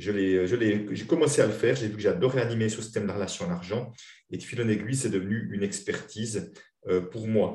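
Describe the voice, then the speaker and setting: With audible room echo, a man speaks fairly quickly at a medium pitch, his dark, mellow tone somewhat breathy and his intonation lively. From Switzerland. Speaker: money-relationship coach and trainer. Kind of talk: interview.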